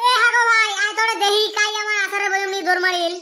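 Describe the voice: In a cartoonish character voice, a man talks very fast at an extremely high pitch, his tone bright and sharp and his intonation fairly even.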